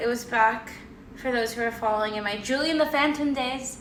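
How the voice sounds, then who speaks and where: A woman's fairly quick speech with fairly even intonation amid noticeable background noise. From Hawaii, Oahu. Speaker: content creator. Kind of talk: casual vlog monologue. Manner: casual, chatty.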